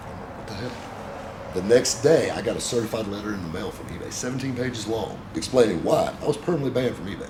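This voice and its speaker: With a Southern US accent, a man talks at a very fast pace in a medium pitch, with ordinary pitch variation, big swings in loudness and noticeable background noise. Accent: Southern American. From South Carolina, USA. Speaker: car dealer and radio show host. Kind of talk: interview answer.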